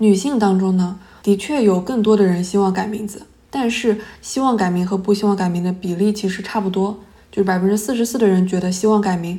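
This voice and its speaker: A woman speaks very fast with a dark, mellow, somewhat breathy tone and fairly even intonation. Audible room echo surrounds her voice. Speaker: podcast host, academic researcher. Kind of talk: solo podcast monologue.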